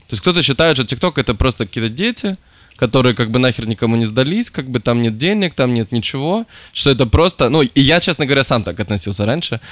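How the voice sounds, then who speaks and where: A medium-pitched man at a very fast pace with lively intonation, dry with no echo over a quiet background. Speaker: podcast host. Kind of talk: casual chat. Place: home room. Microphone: studio mic.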